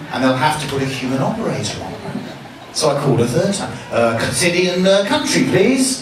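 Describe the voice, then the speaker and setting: A man with an English accent, fairly quick, with very wide pitch swings, noticeable background noise and audible room echo. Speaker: comedian. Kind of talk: stand-up. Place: bar.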